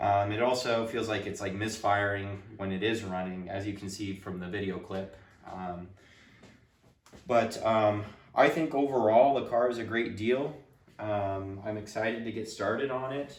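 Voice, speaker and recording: Speaking at a moderate pace with ordinary pitch variation, a man with a fairly low voice is heard with audible room echo. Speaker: car repair youtuber. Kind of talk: casual tutorial talk. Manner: hesitant, many fillers.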